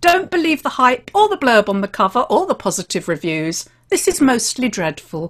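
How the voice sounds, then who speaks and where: In a British accent, a woman speaks at a moderate pace with very wide pitch swings over a quiet background. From England. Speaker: podcast host and crime writer. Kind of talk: casual chat. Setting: video call. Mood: candid, critical, opinionated. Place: home room.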